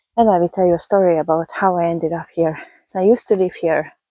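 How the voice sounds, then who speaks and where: A woman with a Hungarian accent speaks fairly quickly at a medium pitch, her dark, mellow tone showing ordinary pitch variation in a dry, close sound with no echo. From Hungary, raised in Budapest. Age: 30s. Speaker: vlogger and health coach. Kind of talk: casual walking vlog. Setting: outdoors on a country road. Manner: casual, chatty.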